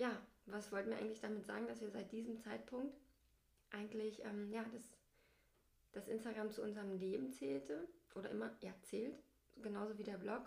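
With vocal fry and a fairly high pitch, a woman speaks at a moderate pace with ordinary pitch variation. She leaves long, frequent pauses, and audible room echo is present. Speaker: family blogger and podcast co-host. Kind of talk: casual chat.

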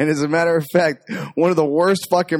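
He speaks at a fairly quick pace. This man has an ordinary speaking voice, pitched fairly high. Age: 40s. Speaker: podcast co-host. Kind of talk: casual movie commentary. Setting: home studio on couches in front of a TV.

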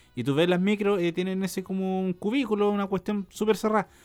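A man with a Chilean accent speaks at a fairly quick pace in a high pitch, recorded very cleanly against a silent background. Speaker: podcast co-host. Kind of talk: casual chat.

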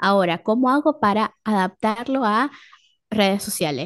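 A woman speaks at a fairly slow pace with lively intonation and a fairly high pitch. The sound is dry and close with no echo, over a quiet background. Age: 30s. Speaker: communicator and educator. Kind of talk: casual chat. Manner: halting.

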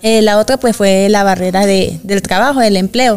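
Noticeable background noise accompanies a woman speaking at a moderate speed. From Venezuela, Valencia, Carabobo. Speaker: migrant woman, mother. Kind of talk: interview conversation.

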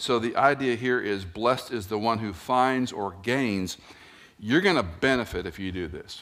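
A man with an unremarkable speaking voice talks at medium pitch and a moderate pace, using lively intonation. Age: 60s. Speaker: pastor. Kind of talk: sermon. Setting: church.

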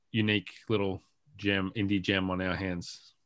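A man with an Australian accent speaks at a moderate pace in a fairly low pitch, his intonation monotone and flat. The background is quiet. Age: 30s. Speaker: video game writer and sound designer. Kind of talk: interview.

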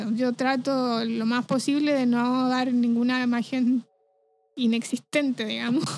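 The pace is fairly slow and the intonation monotone and flat. Loudness stays very even throughout. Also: woman, high pitch for a woman. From Chile (Rancagua). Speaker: flutist, music teacher. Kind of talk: casual interview chat.

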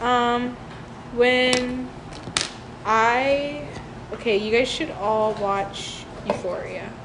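Her voice is high, and this woman speaks at a very slow pace with long, frequent pauses. Audible room echo and noticeable background noise surround her. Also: ordinary pitch variation. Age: 20s. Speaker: podcast co-host. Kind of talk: casual chat.

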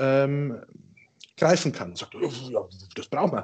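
This man has a dark, mellow tone and a slight Bavarian accent, speaking at a moderate pace. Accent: slight Ingolstadt Bavarian dialect. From Ingolstadt, Bavaria. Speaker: IT company owner. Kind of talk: casual storytelling.

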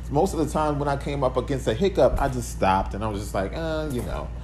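A man speaks with noticeable background noise. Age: 40s. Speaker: podcast host. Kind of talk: solo motivational monologue. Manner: casual, conversational.

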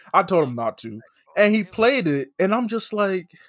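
A man speaks in a raised, projected voice. His tone is animated, bright and sharp. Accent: American. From United States, Nigerian heritage. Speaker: wrestling podcaster guest. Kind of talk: casual chat.

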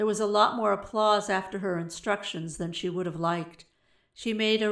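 Simple, plain reading aloud

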